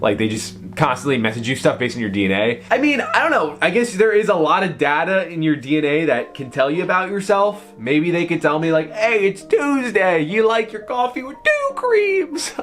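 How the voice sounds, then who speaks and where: A man with a high voice speaks fairly quickly in an animated tone, with hardly any pauses and very wide pitch swings. Music plays in the background. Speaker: commentary youtuber. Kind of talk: reaction commentary reading an article. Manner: casual, animated.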